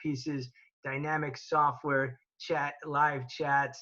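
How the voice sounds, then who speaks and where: The voice has an energetic, bright, sharp tone. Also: man. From Boca Raton, Florida, USA. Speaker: celebrity charity auctioneer. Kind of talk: interview answer about virtual fundraising. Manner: conversational, energetic.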